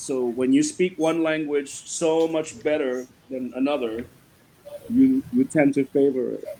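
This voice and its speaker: A man with a fairly high voice talks at a fairly slow pace and ordinary pitch variation while noticeable background noise plays. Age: 40s. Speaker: writer. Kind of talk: interview.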